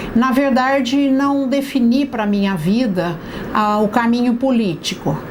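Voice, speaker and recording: Noticeable background noise and audible room echo surround a woman's voice. She speaks fairly slowly with a high pitch and ordinary pitch variation. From Brazil, Itu (São Paulo state). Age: 60s. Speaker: local politician. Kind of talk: testimony interview. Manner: halting, with fillers.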